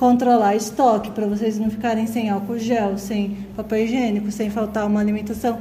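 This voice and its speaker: A fairly high-pitched woman's voice with audible room echo and noticeable background noise. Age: 30s. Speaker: school administrator. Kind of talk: interview.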